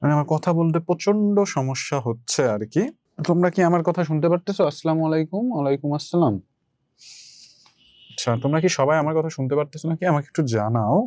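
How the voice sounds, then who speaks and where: The man's voice sits fairly high, with a dark, mellow tone. His loudness stays very even and his pitch varies in an ordinary way. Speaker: online tutor. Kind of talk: online lecture.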